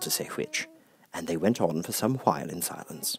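A man's voice with vocal fry, a slightly husky edge and a fairly quick pace

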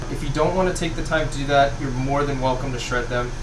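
A man talks at a very fast pace. Noticeable background noise can be heard. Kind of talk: tutorial. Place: kitchen.

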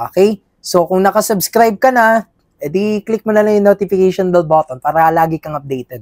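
A man talks at a fairly quick pace with a high pitch, ordinary pitch variation and big swings in loudness. The sound is dry with no echo, and the background is quiet. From Philippines. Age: 20s. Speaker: finance content creator and student; finance content creator. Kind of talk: vlog self-reflection. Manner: casual, filler-heavy. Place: studio. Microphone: lapel.

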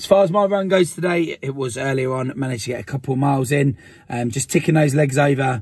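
A man speaks at a fairly quick pace in a somewhat breathy voice, with ordinary pitch variation. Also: quiet background, dry sound with no echo. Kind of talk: casual vlog chat. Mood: upbeat, friendly. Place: car.

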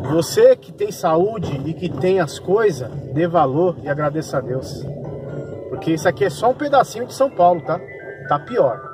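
Over music in the background, a man with a high pitch speaks at a moderate pace with lively intonation in a dry sound with no echo. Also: big swings in loudness. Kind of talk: casual vlog chat.

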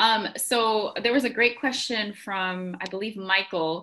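A bright, sharp tone sits over a quiet background. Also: woman. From Bahamas. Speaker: environmental educator. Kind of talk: informational webinar. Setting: video call. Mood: warm, encouraging. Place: home room.

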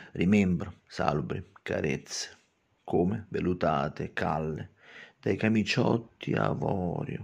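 A man with a very deep, low voice and vocal fry uses a dramatic tone and lively intonation over a quiet background. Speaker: poet and channel host. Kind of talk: poetry reading, slow and theatrical, with spoken commentary. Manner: dramatic, ornate, lingering on florid words; emphatic, repetitive, fond of explaining his own verses. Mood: emotional, wistful. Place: home room. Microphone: phone near.

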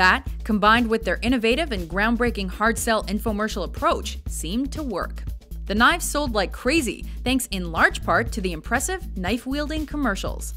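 Music plays in the background as a woman talks at a moderate pace. She leaves hardly any pauses. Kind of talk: countdown list narration. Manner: wry, humorous.

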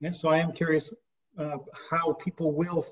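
A man with an American accent talks in a high pitch. His intonation is monotone and flat, and the background is quiet. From United States. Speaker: YouTube co-host. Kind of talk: interview. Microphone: video call.

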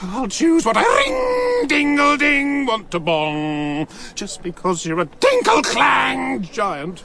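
In a put-on character voice, the speaker shouts in a bright, sharp tone with vocal fry, big pitch swings and a slow pace, over faint background noise. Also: man, extremely high pitch for a man.

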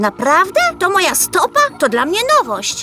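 A cartoonish character voice at a high pitch moves at a moderate pace over clear background noise. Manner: lively, eager.

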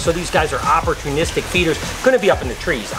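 Music plays in the background while a man speaks very fast. His voice is high, with ordinary pitch variation. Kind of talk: casual vlog chat. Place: hall. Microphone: phone near.

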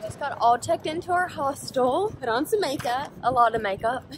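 The speaker's intonation is lively, heard over noticeable background noise. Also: woman. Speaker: travel vlogger. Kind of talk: casual vlog chat. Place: street. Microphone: phone near.

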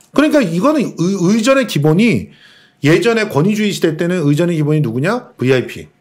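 The speaker's pitch swings very widely at a moderate pace. The background is quiet. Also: man, high pitch for a man. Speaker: cultural critic. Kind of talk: casual chat. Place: studio. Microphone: studio mic.

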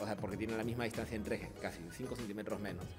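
A man talks very fast. Clear music sits behind him. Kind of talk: interview answer. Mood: upbeat, smiling. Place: shop. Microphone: handheld.

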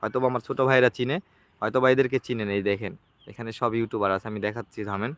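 He speaks at a medium pitch with fairly even intonation. It is an ordinary speaking voice from a man. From northern Bangladesh, Lalmonirhat. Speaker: YouTuber. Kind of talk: live stream chat. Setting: at a friend's home.

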